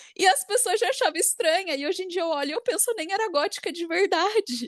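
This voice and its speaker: Woman talking at a fairly quick pace. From Brazil, Campinas (São Paulo state). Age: 20s. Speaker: podcast host, fashion designer. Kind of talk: casual chat.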